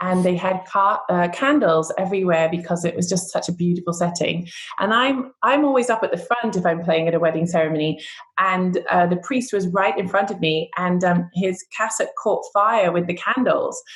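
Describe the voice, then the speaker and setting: A woman speaks at a moderate pace in a medium pitch, her loudness very even and her pitch varying an ordinary amount. Noticeable background noise runs under her voice. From Scotland, Edinburgh. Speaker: harpist. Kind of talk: interview.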